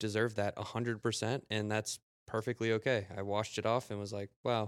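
A man at fairly low pitch, an unremarkable speaking voice, moderate pace, dry, close sound with no echo, very clean recording with a silent background. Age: 20s. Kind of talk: casual chat.

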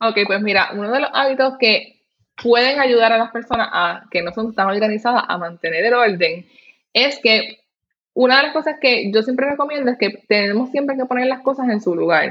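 Speaking at a moderate pace with a Puerto Rican accent, a woman uses lively intonation at a fairly high pitch. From Puerto Rico. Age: 30s. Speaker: professional organizer. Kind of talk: interview.

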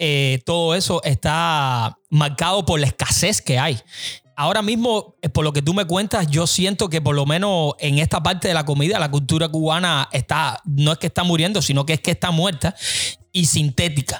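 Music plays in the background as a man with a fairly high pitch speaks at very even loudness, in a dry, close sound with no echo. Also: ordinary pitch variation, moderate pace. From Cuba. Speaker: podcast host. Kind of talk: interview conversation.

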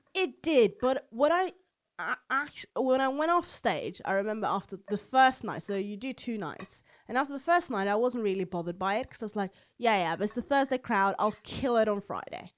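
A woman talks at a fairly quick clip with a Norwegian accent, her fairly high pitch swinging very widely. The recording is very clean, with a silent background. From Norway, Oslo. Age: 20s. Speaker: comedian. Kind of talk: casual chat.

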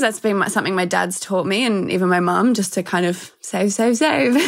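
A woman with an Australian accent speaks at a medium pitch, with vocal fry and ordinary pitch variation. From Australia, Melbourne. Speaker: health and fitness entrepreneur, former model. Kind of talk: interview. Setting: video call.

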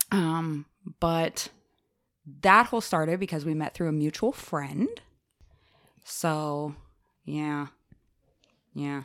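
A woman speaks very slowly in a very deep, low voice with ordinary pitch variation, leaving long, frequent pauses. The recording is very clean, with a silent background. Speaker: podcast guest. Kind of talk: casual chat about dating. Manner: open, candid.

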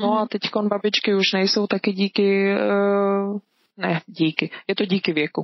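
The delivery is fairly slow, with monotone, flat intonation. Loudness stays very even throughout. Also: woman, medium pitch for a woman. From Czech Republic, moved to Switzerland as a child. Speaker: artist. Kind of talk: casual interview.

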